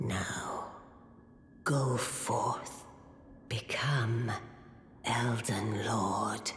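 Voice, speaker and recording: A whispered, put-on character voice at a very slow pace, with long, frequent pauses, clear background noise and a slight echo. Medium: video game. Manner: solemn, ceremonial.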